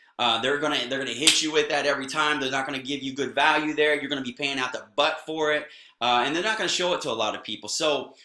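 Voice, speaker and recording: A man's fairly high voice at a very fast pace, with fairly even intonation and noticeable background noise. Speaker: network marketing trainer. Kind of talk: tutorial. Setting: recorded video blog.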